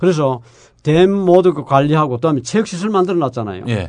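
Very fast speech with lively intonation comes through. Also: man. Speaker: environmental engineering professor. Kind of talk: casual chat.

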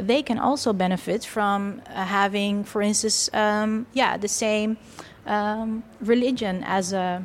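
Fairly high in pitch, a woman speaks at a fairly slow pace with fairly even intonation. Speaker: PhD student researcher. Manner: hesitant with fillers.

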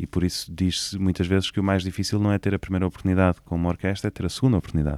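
At a very fast pace, a man with a very deep, low pitch comes through dry and close with no echo on a very clean recording with a silent background. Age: 30s. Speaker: orchestra conductor. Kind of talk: interview conversation. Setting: recording room in a theatre.

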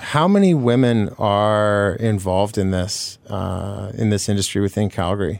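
A man's ordinary speaking voice, fairly low in pitch, at a fairly slow pace with hardly any pauses and fairly even intonation, in a very clean recording with a silent background. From Manitoba, Canada. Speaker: radio co-host. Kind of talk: radio interview. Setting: radio studio.

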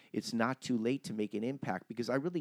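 A man with an American accent uses a normal speaking voice. His pitch is medium, with ordinary pitch variation. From Cleveland, Ohio. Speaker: comedy writer. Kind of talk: casual chat.

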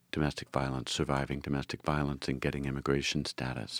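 On a very clean recording with a silent background and a dry, close sound with no echo, a man speaks with a very deep, low pitch and vocal fry. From Philadelphia, Frankford. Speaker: immigration attorney and political candidate. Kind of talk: interview.

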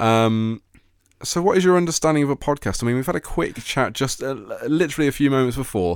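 A man has an ordinary speaking voice at a fairly high pitch, with lively intonation and a fairly quick pace. The recording is very clean, with a silent background. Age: 20s. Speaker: radio host. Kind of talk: casual chat.

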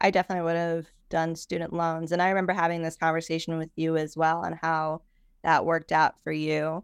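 A woman's plain, everyday voice with an American accent, fairly low-pitched and fairly quick, over a quiet background. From Chicago. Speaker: news producer. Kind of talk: interview.

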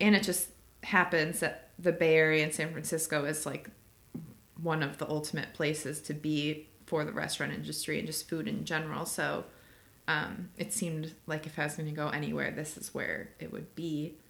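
A woman's very deep, low voice with vocal fry, at a moderate pace and in fairly even intonation. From Chicago, US Midwest. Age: 20s. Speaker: social media marketing manager. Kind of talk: casual chat. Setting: crowded bar.

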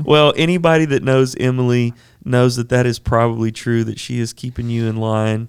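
Using an ordinary speaking voice, a man talks at a medium pitch and a moderate pace with fairly even intonation. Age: 30s. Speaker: podcast host. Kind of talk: casual interview.

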